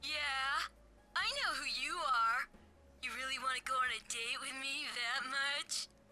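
A put-on character voice at a moderate pace, with long, frequent pauses and clear background noise. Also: woman, high pitch for a woman. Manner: menacing, sinister.

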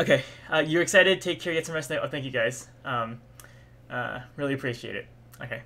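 Bright and sharp in tone, a man talks at a very fast pace with a fairly high pitch. His pitch variation is ordinary, and he leaves long, frequent pauses. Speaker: livestreamer. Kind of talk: casual, chatty. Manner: fast talker. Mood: cheerful, a bit tired. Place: home room.

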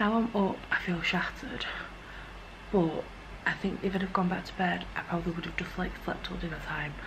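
Over noticeable background noise, a woman with a fairly low pitch talks at a moderate pace with monotone, flat intonation. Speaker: vlogger. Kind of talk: casual vlog chat. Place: home room. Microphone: phone near.

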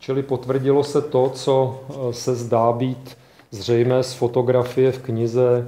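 Audible room echo surrounds a man who speaks with monotone, flat intonation. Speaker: institute director. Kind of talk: lecture introduction. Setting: stage with audience. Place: hall. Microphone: camera far.

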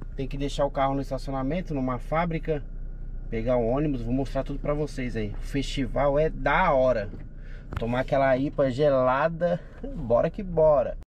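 At a moderate pace, a man speaks with a dry sound with no echo and light background noise. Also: fairly even intonation. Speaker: travel vlogger. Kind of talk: casual vlog chat. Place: car. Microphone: phone near.

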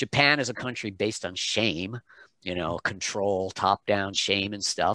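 In a dry sound with no echo and a quiet background, a man with an American accent speaks at a fairly slow pace. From United States, childhood in Malaysia and England. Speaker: pronunciation coach, voice talent, singer. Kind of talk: interview answer. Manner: casual, conversational. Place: home room. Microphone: headset.

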